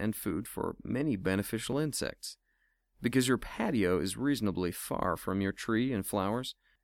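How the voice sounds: Here is a natural reading voice. The background is quiet.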